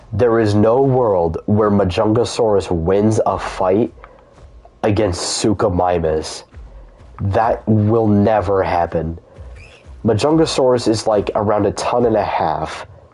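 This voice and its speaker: Music plays in the background as a man with a fairly low pitch speaks at a very slow pace, with ordinary pitch variation. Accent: American. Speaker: gaming streamer. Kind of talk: casual chat. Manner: animated.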